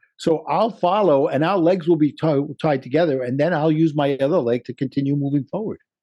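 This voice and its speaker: Spoken at a fairly quick pace in a Brooklyn accent, the voice runs on with hardly any pauses. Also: man, fairly high pitch for a man, ordinary pitch variation. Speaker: life coach. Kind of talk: interview.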